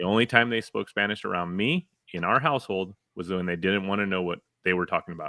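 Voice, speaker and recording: A man with a very deep, low pitch, ordinary pitch variation, and a very fast pace. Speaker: streamer co-host. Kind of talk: casual chat. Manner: animated.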